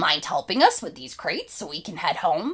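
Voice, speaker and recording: A woman puts on a raspy character voice at a medium pitch, speaking at a moderate pace. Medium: read story. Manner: polite, calm, articulate.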